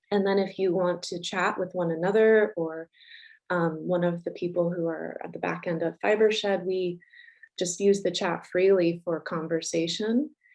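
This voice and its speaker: A woman's medium-pitched voice in a flat monotone, over a quiet background. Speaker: nonprofit founder and director opening a symposium. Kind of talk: welcome remarks at a virtual symposium. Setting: video conference. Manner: hesitant, many fillers; slow, unhurried.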